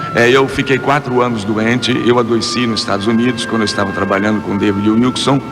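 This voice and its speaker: Music plays in the background, and audible room echo is present. A man speaks at a medium pitch with fairly even intonation. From Brazil, Rio de Janeiro. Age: 60s. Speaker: evangelical singer and preacher. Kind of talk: testimony interview.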